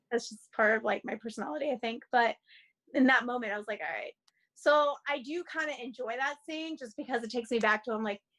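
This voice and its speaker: A woman talks at a very fast pace and a high pitch, her tone bright and sharp. Her loudness swings widely while her pitch varies in an ordinary way. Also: dry, close sound with no echo. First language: not English (learned English as third language). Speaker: actress. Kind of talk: interview. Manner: casual, filler-heavy (like, you know).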